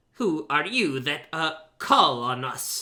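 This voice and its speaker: Using a put-on character voice, a man speaks very slowly in a gruff, fairly high pitch with lively intonation. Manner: demanding, suspicious.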